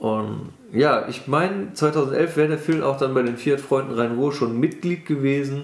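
In a normal speaking voice, a man with a fairly high pitch talks at a fairly slow pace with ordinary pitch variation and hardly any pauses. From western Germany, Bergisches Land (Wermelskirchen). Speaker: car enthusiast. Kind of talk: casual chat.

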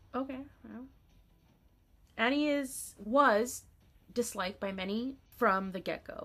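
Her tone bright and sharp, a woman speaks at a fairly slow pace with ordinary pitch variation. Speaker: podcast co-host. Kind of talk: casual chat about anime.

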